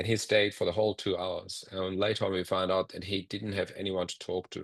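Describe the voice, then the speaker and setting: In an ordinary speaking voice, a man with a fairly low pitch talks at a fairly quick pace with fairly even intonation over a quiet background. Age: 50s. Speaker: social enterprise founder. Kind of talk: presentation. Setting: video call.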